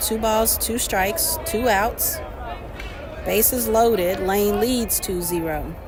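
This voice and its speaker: Music plays in the background as the speech moves at a very slow pace. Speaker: amateur baseball play-by-play streamer. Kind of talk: live commentary. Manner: loud, yells at players at times.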